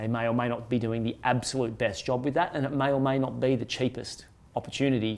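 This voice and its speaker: Talking at a very fast pace, a man keeps a medium pitch. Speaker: podcast host and investment publisher executive. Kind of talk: casual business chat podcast.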